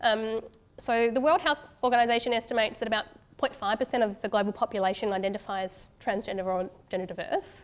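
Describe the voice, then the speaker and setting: Talking at a fairly quick pace, a woman with an Australian accent has a fairly high pitch. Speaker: doctor. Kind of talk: conference talk. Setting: stage with audience. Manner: fast.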